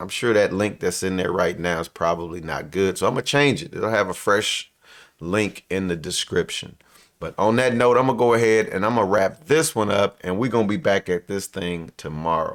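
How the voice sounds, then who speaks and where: Delivered at a fairly quick pace, this man's normal speaking voice sits fairly low in pitch with ordinary pitch variation. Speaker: day trading YouTuber. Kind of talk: trading video recap and outro. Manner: casual.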